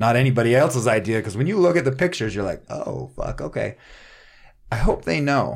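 Fairly quick speech from a man of medium pitch, with very wide pitch swings and vocal fry. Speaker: furniture and cabinetry maker, remodeler. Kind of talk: casual chat.

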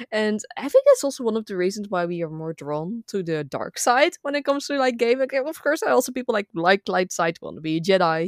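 A woman with a Dutch accent talks at a fairly quick pace with very wide pitch swings, in a dry, close sound with no echo. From Netherlands. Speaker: gaming content creator. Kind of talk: casual chat.

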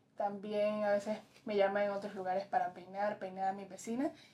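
A woman's voice at a fairly high pitch. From Colombia, Pacific coast (Tumaco, Nariño). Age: young. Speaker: fashion model. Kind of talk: interview answers. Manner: halting.

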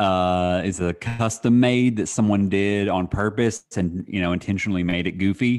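Natural-voiced reading aloud

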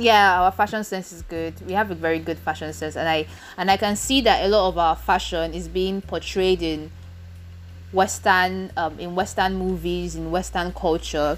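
A woman with a Nigerian accent, moderate pace and big swings in loudness. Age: 20s. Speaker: podcast host. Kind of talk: casual solo chat. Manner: halting, pausing to clear throat.

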